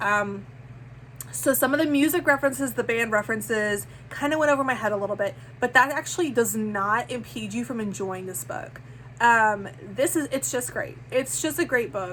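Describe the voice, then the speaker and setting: Animated and fairly high-pitched, a woman talks at a moderate pace with very wide pitch swings. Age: 30s. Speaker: book vlogger. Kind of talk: casual chat. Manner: halting.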